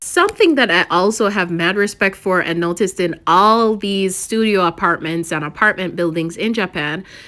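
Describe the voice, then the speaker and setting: Speaking at a moderate pace, a woman has a bright, sharp tone, a medium pitch, and ordinary pitch variation. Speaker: gaming YouTuber. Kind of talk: casual gameplay commentary.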